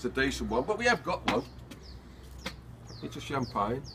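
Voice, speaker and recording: A moderate pace with a Birmingham accent. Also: man. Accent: Birmingham (Brummie). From Birmingham, England. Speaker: amateur video maker. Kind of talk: comedic monologue. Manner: jokey, chatty.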